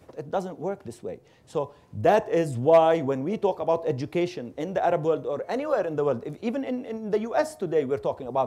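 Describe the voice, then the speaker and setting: This man's voice is fairly high in pitch and has a dark, mellow tone. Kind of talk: panel discussion.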